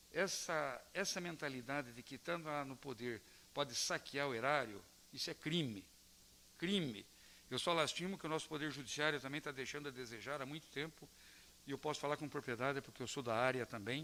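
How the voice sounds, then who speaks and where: With a bright, sharp tone, a man speaks fairly quickly at a fairly high pitch with ordinary pitch variation. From Brazil, Palmeira. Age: 60s. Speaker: local politician. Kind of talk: round-table talk to students. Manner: hesitant with repetitions.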